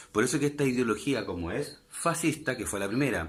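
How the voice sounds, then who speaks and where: A man's medium-pitched voice with vocal fry and lively intonation at a moderate pace, with audible room echo. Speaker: history teacher. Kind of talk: online lecture.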